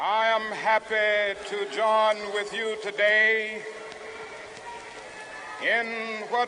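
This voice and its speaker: A man's raised, projected voice, high-pitched, with an American accent and monotone, flat intonation, over noticeable background noise. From United States. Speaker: civil rights activist, Baptist minister. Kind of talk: public speech to a large outdoor crowd. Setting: outdoors, public address system. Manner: oratorical, rhythmic, rising intensity.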